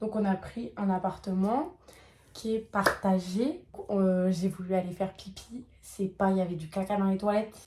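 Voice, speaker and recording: A woman at medium pitch and a moderate pace. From France. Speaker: travel vlogger. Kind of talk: casual vlog chat. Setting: travel vlog on holiday. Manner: animated.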